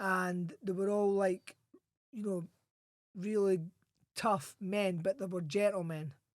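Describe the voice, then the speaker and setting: A high-pitched man in a strong Scottish accent, very slow pace with long, frequent pauses and fairly even intonation. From Scotland, Edinburgh. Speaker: former boxer and Royal Marine. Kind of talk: podcast interview.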